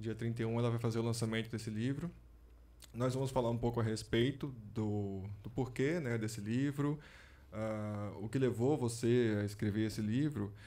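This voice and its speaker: Here a man speaks at a medium pitch and a moderate pace. His tone is dark and mellow, with fairly even intonation. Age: 40s. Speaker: podcast host. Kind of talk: interview. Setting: studio.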